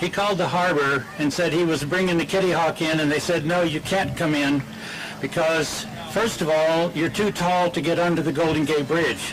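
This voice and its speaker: Over noticeable background noise, the voice keeps a fairly even intonation at a moderate pace. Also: man. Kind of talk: anecdote told to an audience. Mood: warm, humorous. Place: beach. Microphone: podium.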